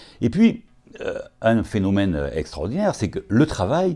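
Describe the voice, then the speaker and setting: With a dark, mellow tone and vocal fry, a man's voice moves through very wide pitch swings. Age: 60s. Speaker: occupational physician. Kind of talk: interview. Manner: hesitant, many filler sounds.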